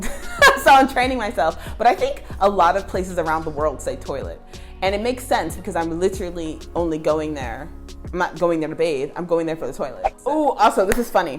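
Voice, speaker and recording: A woman talks at a fairly quick pace in an American accent. Music plays in the background. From United States. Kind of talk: casual talk to camera.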